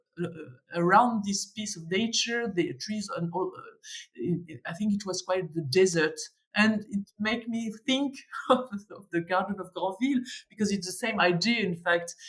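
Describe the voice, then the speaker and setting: With a French accent, this somewhat breathy voice moves at a moderate pace, shows ordinary pitch variation, and has big swings in loudness. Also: woman, medium pitch for a woman. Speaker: museum director and curator. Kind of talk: podcast interview. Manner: halting, many hesitations.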